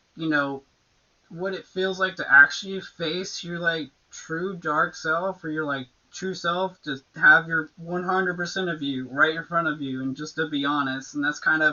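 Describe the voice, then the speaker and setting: A woman talks at a moderate pace. Her pitch sits fairly low, and her intonation stays fairly even. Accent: slight Southern US. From Florida panhandle, US South. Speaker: electronic music producer and DJ. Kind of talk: casual interview chat. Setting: live stream with music playing.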